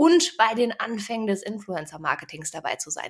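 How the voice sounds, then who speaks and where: Pitched fairly high, a woman talks in a normal speaking voice. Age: 30s. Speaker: podcast host and digital consultant. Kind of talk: scripted podcast trailer, playful.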